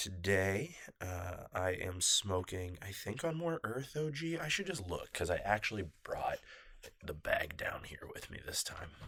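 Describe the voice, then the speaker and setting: The speaker talks quietly at a fairly slow pace. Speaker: podcast host. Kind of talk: casual chat. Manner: hesitant, many fillers.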